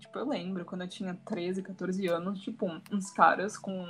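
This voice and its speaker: Noticeable background noise fills the clip. A woman is talking through it. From São Paulo state, Brazil. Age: young. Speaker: student and social media influencer. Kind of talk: casual podcast chat.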